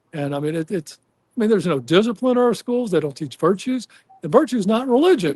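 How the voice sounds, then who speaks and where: The recording is dry and close, without any echo. A man does the talking. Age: 60s. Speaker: political candidate. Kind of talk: interview. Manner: halting, many fillers and restarts.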